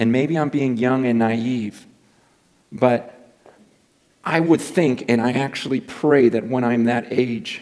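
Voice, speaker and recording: A man speaks at a very slow pace with ordinary pitch variation. He leaves long, frequent pauses over a quiet background. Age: 40s. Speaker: preacher. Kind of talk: sermon. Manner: earnest, challenging. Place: church.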